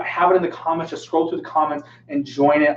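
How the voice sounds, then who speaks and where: Noticeable background noise runs under a man talking at a very fast pace. His pitch is fairly high and his intonation fairly even. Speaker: fitness coach and personal trainer. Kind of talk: live Q&A stream. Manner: casual, filler-heavy.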